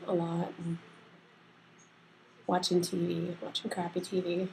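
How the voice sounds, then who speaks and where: Soft-spoken and flat, a woman talks at a moderate pace in a fairly low pitch with a dark, mellow tone and monotone intonation. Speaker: vlogger sharing health updates. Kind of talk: casual video diary. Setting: at home. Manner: halting.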